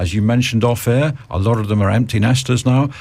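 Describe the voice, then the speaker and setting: His voice is somewhat breathy and medium in pitch. The man talks at a moderate pace. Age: 50s. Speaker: radio host. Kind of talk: radio interview. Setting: radio studio.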